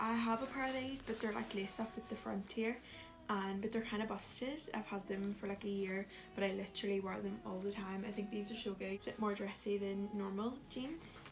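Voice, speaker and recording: Over noticeable background noise, a woman with a Scottish accent speaks fairly quickly with fairly even intonation. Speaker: beauty and fashion vlogger. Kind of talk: casual haul video talk to camera. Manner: fast. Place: home room. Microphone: phone near.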